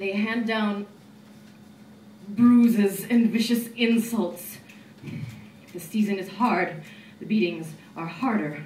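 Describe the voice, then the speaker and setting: A woman speaks at a very slow pace with long, frequent pauses and fairly even intonation. Her loudness swings widely over noticeable background noise. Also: medium pitch for a woman. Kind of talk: poetry reading.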